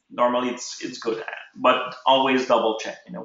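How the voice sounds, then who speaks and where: A man talks at a medium pitch, with audible echo from the room. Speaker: ecommerce webinar host. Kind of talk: tutorial. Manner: halting.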